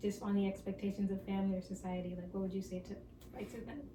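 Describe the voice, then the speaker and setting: The voice belongs to a woman and has a medium pitch. Background noise is noticeable throughout. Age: 20s. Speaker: podcast host. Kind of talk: casual chat. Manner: casual, filler-heavy.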